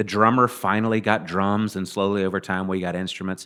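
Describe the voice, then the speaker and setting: A man talks with a Southern US accent. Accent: southern drawl. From Mississippi, US South. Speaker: podcast guest, musician. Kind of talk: casual interview chat.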